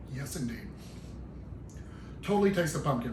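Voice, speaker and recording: A man with lively intonation, noticeable background noise and audible room echo. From Tennessee. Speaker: home cooking channel host. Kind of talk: cooking tutorial. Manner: casual, folksy.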